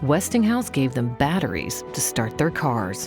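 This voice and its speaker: Music plays in the background of this clip. The voice moves at a moderate pace with very wide pitch swings. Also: woman. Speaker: narrator. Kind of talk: documentary narration.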